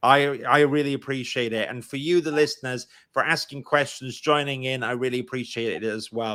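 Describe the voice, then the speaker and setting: A man with a Welsh accent speaks fairly quickly, with hardly any pauses, at a medium pitch, in a bright, sharp tone with fairly even intonation. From Wales. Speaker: podcast host. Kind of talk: live stream interview.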